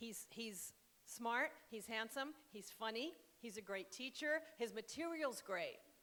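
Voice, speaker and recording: A normal speaking voice delivers lively intonation at a fairly slow pace. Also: woman. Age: 60s. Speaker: author and spiritual counselor. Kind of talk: casual onstage conversation. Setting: stage with audience.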